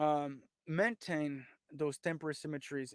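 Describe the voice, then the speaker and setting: With a French accent, this man talks at a fairly high pitch, recorded very cleanly against a silent background with a dry, close sound and no echo. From France. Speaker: historian and tour guide. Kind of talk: lecture. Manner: halting, with many fillers.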